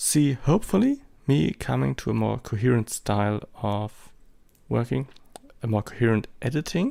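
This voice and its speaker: A man with a German accent speaks at a moderate pace, pausing long and often. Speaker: amateur photographer, vlogger. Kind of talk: vlog monologue. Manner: hesitant, many fillers.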